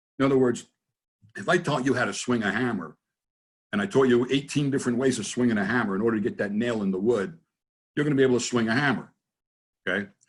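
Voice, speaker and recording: Talking at a very fast pace with long, frequent pauses, the speaker has a New Jersey accent and ordinary pitch variation. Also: man, medium pitch for a man. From US, New Jersey. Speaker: NLP trainer and business consultant. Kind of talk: interview in a webinar. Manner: casual, conversational.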